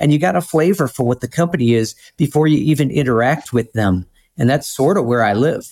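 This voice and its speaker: A man in an unremarkable speaking voice talks at a fairly quick pace and fairly high pitch with lively intonation and very even loudness, on a very clean recording with a silent background. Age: 50s. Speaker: trucking recruitment director. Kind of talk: interview.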